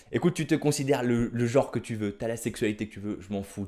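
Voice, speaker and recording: A man talks at a very fast pace in a dark, mellow tone. His pitch varies in an ordinary way against a quiet background. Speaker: stand-up comedian. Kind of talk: stand-up comedy routine, storytelling with jokes. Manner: animated, punchy, exaggerated delivery with slangy asides. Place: home room. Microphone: handheld.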